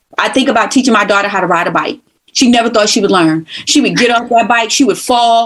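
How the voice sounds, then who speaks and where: With an American accent, a woman speaks at a fairly high pitch and a very fast pace. Her tone is animated. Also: ordinary pitch variation. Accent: New York accent, with some North Carolina. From New York (Brooklyn). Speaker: former college instructor, communications professional. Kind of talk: casual podcast conversation.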